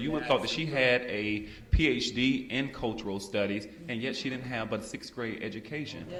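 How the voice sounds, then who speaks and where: A man with a Southern US accent at medium pitch, fairly quick and lively in intonation, with noticeable background noise and audible room echo. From Montgomery, Alabama, US South. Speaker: panelist. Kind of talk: panel discussion.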